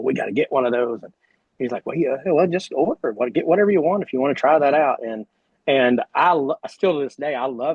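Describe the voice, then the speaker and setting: In an American accent, a man talks with a fairly high pitch. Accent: drawl. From Oklahoma. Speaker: retired sprint car driver. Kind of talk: casual interview chat.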